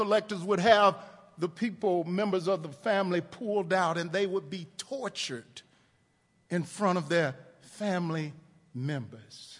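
A man's bright, sharp tone in an American accent, at a fairly slow pace. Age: 50s. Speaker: pastor. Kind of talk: sermon. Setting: church.

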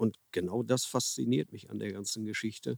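Speaking at a moderate pace with ordinary pitch variation, a man comes through in a dry, close sound with no echo. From Ruhr area, Germany (Herne). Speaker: carp angler and author. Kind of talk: casual interview. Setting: outdoors by a river.

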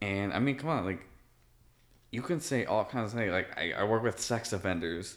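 Speaking at a moderate pace, a man in an ordinary speaking voice keeps a medium pitch and lively intonation. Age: 30s. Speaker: podcast co-host. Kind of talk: casual chat. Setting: indoors in his apartment.

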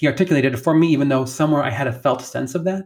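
The recording is very clean, with a silent background. A somewhat breathy man speaks with ordinary pitch variation. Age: 40s. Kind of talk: gospel reflection; casual faith conversation.

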